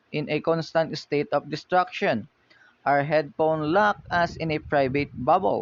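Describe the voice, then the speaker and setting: At a fairly slow pace, a man with a Filipino accent speaks in a fairly high pitch with ordinary pitch variation. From Philippines. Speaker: university student. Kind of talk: class presentation. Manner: halting.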